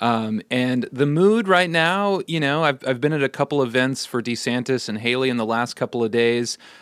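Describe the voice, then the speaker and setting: A man with an American accent speaks at a moderate pace, with hardly any pauses, in an ordinary speaking voice. His pitch is medium with ordinary variation, and the recording is very clean with a silent background. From US Midwest, Iowa-Nebraska border. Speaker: political reporter. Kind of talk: radio interview.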